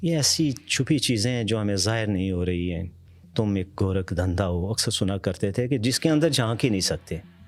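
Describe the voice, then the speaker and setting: Moderately paced, a plain, everyday voice carries lively intonation. The recording is very clean, with a silent background. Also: man, fairly low pitch for a man. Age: 60s. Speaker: retired school principal. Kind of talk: interview.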